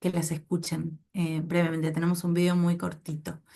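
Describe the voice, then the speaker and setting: A woman speaks in a fairly low, somewhat breathy voice with a dark, mellow tone. The background is quiet. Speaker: anthropology researcher. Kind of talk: academic seminar talk. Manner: hesitant, many fillers.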